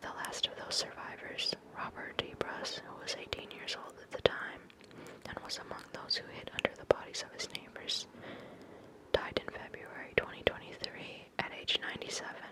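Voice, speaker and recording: A woman whispering at a moderate pace, with big swings in loudness and noticeable background noise. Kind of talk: whispered magazine reading, ASMR. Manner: whispered, soft.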